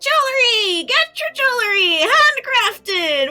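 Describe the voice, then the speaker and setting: A put-on character voice from a woman, extremely high-pitched, raised and projected, at a fairly slow pace. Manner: shouting, hawking wares.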